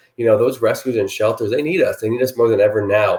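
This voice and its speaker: A man with an American accent. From New Jersey. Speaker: animal rescue charity founder. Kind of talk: appeal for sponsors to camera. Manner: loud; animated.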